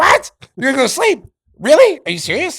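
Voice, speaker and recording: This put-on character voice is shrill and high-pitched, moving at a fairly quick pace. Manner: incredulous, complaining.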